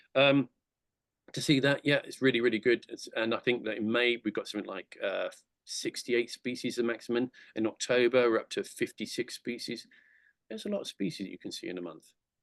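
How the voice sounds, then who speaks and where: A man at a fairly quick pace, with dry, close sound and no echo. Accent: English. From England. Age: 60s. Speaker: conservation charity director. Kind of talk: presentation talk. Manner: fast; enthusiastic, halting with fillers.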